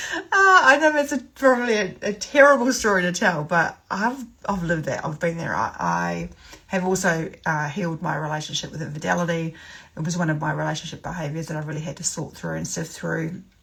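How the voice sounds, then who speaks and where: Fairly quick and lively in intonation, a woman with a New Zealand accent talks at a fairly low pitch with vocal fry. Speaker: sobriety coach. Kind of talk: live stream talk. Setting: livestream. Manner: casual, many fillers.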